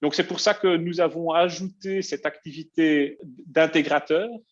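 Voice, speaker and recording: In a quiet background, a man talks at a very slow pace. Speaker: software company presenter. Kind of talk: webinar presentation. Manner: halting, many filler hesitations.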